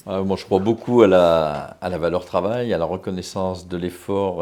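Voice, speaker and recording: Speaking at a moderate pace, a man with a very deep, low voice and a dark, mellow tone keeps his intonation fairly even on a very clean recording with a silent background. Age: 60s. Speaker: local politician, mayor. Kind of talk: campaign interview. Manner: hesitant, many filler sounds.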